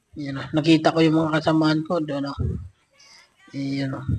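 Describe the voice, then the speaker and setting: Speaking fairly quickly, a man uses a fairly high pitch and monotone, flat intonation. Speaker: travel vlogger. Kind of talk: vlog narration. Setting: voice-over recorded separately. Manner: casual, filler-heavy.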